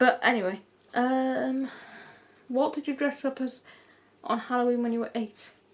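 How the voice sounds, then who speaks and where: A woman speaks with a British accent and a high pitch. Her pace is moderate and her intonation fairly even. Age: 20s. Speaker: YouTuber. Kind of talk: casual chat. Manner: casual, rambling with fillers.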